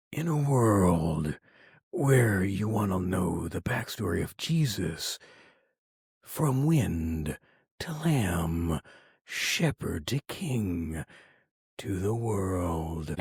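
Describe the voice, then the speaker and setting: A booming, raspy put-on character voice from a man, fairly low in pitch with very wide pitch swings, very slow with long, frequent pauses. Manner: dramatic.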